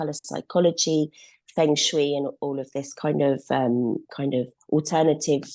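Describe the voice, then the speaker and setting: Against a quiet background, a woman with a southern English accent speaks at a very deep, low pitch. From England, Surrey. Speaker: art photographer. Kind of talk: group video call introduction.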